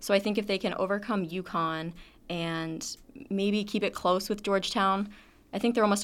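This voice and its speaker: A woman's plain, everyday voice at a medium pitch and fairly quick pace, with fairly even intonation, on a very clean recording with a silent background. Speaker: student women's lacrosse reporter. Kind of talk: sports analysis discussion.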